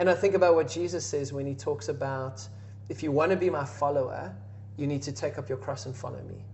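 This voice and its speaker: A man with a medium pitch talks at a fairly quick pace with lively intonation, over noticeable background noise and audible room echo. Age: 30s. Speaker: podcast host. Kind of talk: podcast interview.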